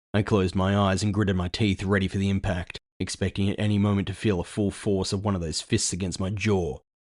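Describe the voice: Text is read aloud. The reading is plain.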